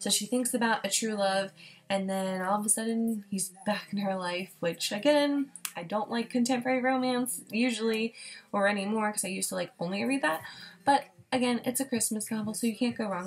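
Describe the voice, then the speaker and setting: A woman talks at a fairly quick pace and a fairly high pitch. Her voice is somewhat breathy. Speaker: book vlogger. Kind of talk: casual chat. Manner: fast.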